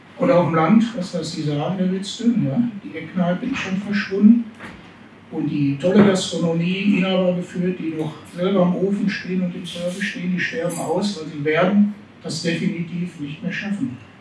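With audible room echo and light background noise, a man speaks at a moderate pace and high pitch. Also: ordinary pitch variation. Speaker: restaurateur and trade association spokesman. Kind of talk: panel discussion. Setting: stage with audience. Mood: earnest, concerned, argumentative. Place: hall.

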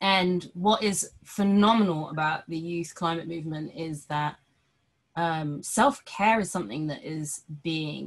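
Somewhat breathy speech at a very slow pace, ordinary pitch variation, with a British accent. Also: woman. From Britain, Sri Lankan heritage. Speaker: podcast producer and co-host. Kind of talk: casual chat. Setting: video call. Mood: earnest, enthusiastic. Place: home room. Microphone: webcam.

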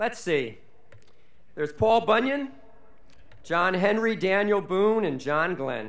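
Lively intonation and a high pitch mark this man's voice. He talks at a very slow pace with long, frequent pauses. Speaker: college official reading honorary degree citations. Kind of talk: formal commencement oratory, reading scripted citations with ceremonial flourish. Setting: graduation ceremony on stage before audience. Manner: formal, measured, dignified, with witty rhetorical flourishes. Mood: formal with light humor. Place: stage. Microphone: podium.

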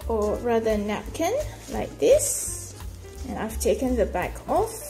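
A woman speaking at a very slow pace, with faint music in the background. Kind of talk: tutorial. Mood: calm, relaxed. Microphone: phone near.

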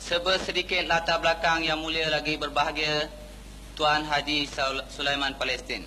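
A man with a fairly high pitch speaks at a moderate pace in a flat monotone, his loudness very even, with noticeable background noise behind him. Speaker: event emcee introducing the speaker. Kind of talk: formal introduction.

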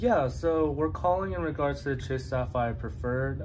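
A man's voice with very wide pitch swings, over noticeable background noise. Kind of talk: phone conversation. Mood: polite, explaining. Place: home room. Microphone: phone near.

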